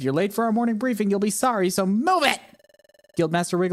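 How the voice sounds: Pitch varies in an ordinary way throughout a natural reading voice.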